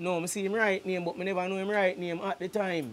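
A man with a strong Jamaican accent, at a very fast pace. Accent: strong Jamaican patois. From Kingston, Jamaica. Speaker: reggae artist. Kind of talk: casual interview. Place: studio. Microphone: lapel.

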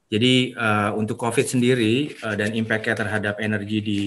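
Flat and monotone, a man's fairly low voice moves at a moderate pace. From Indonesia. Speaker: energy industry professional; webinar presenter. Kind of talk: webinar presentation. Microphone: video call.

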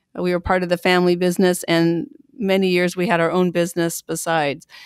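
In a plain, everyday voice, a woman speaks at medium pitch and moderate pace, with a dry, close sound with no echo and a very clean recording with a silent background. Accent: American. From US Pacific Northwest, Pendleton, Oregon. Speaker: Salvation Army officer and national treasurer. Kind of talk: interview.

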